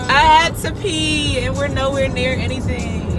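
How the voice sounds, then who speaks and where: A woman at a moderate pace, dry sound with no echo, music in the background. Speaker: vlogger. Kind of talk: casual vlog chat. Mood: playful, chatty. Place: car. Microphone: phone near.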